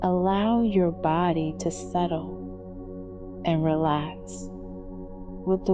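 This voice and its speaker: A woman with a very deep, low voice is heard over music in the background. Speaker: meditation guide. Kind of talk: guided meditation. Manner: slow, soft-spoken.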